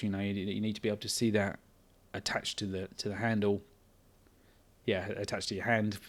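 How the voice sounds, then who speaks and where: At a fairly quick pace, a man talks with an English accent and a fairly low pitch. The recording is very clean, with a silent background. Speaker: indie game developer. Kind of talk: casual devlog talk. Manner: halting.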